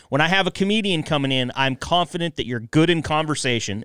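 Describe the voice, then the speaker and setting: Very fast, lively male speech, dry with no echo, over a quiet background. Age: 30s. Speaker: podcast host. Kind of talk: casual chat. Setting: studio. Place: studio. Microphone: studio mic.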